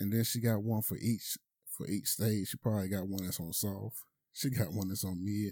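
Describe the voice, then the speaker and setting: Fairly low in pitch, a man's voice has a dark, mellow tone and fairly even intonation at a moderate pace. The recording is very clean, with a silent background. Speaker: podcaster. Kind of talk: casual solo monologue. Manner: casual, conversational.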